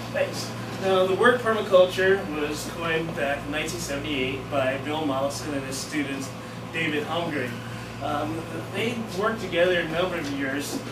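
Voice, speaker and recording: A man at a moderate pace with ordinary pitch variation over loud background noise. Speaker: presenter. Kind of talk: lecture. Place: classroom. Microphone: camera far.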